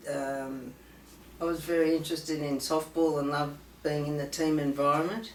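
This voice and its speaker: A woman with a very deep, low pitch speaks at a moderate pace with fairly even intonation. Audible room echo and noticeable background noise are present. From Australia. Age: 60s. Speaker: patient sharing personal story. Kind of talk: testimony. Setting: conference, filmed. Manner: halting, many fillers.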